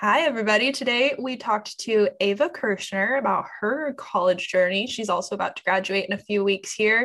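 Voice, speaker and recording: In a plain, everyday voice, a woman with a fairly high pitch talks at a fairly quick pace with hardly any pauses and ordinary pitch variation. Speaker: podcast host, journalism student. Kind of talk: casual chat.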